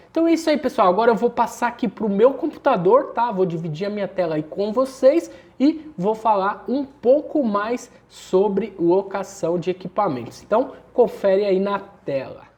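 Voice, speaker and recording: A high-pitched man with lively intonation at a moderate pace. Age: 30s. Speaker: online course instructor, electronic security business owner. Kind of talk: online course lesson. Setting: screen-share recording. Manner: casual, conversational with fillers.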